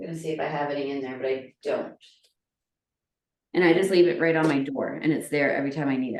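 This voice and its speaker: Talking at a very fast pace broken by long, frequent pauses, a woman uses a very deep, low voice with ordinary pitch variation. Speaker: cooking workshop host. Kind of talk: live cooking demonstration. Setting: home kitchen, recorded video.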